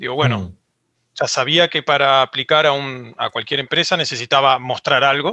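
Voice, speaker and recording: A man with an Argentine accent, fairly high-pitched, ordinary pitch variation, moderate pace. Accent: Argentine Spanish (voseo). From Argentina. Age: 30s. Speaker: 3D character artist. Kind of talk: interview.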